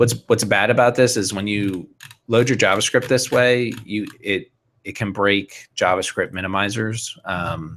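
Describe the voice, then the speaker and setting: A man with a plain, everyday voice talks at a fairly slow pace, fairly low in pitch, with fairly even intonation. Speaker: software developer giving a webinar. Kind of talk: technical tutorial webinar. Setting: live online video broadcast.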